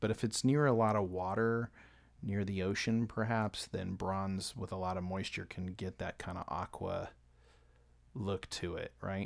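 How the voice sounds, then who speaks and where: The recording is very clean, with a silent background, as a man mumbles at a fairly slow pace. His pitch is fairly low, with ordinary variation. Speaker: illustrator live-streaming painting. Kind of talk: live painting stream commentary. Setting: home studio, late at night. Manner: quiet, kept down to not wake family; mumbling a little.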